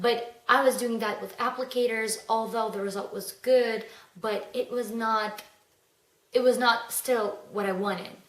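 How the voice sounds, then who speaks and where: A woman speaks with a non-native accent at a fairly slow pace, her fairly high voice held in a monotone, flat intonation. Audible room echo surrounds her. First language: not English. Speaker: beauty vlogger. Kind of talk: casual vlog monologue. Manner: hesitant, with fillers.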